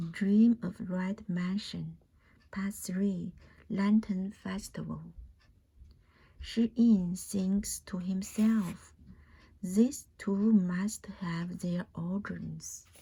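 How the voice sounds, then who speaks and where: A very slow pace broken by long, frequent pauses. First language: Chinese. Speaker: audiobook reader. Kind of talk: reading aloud. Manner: soft-spoken.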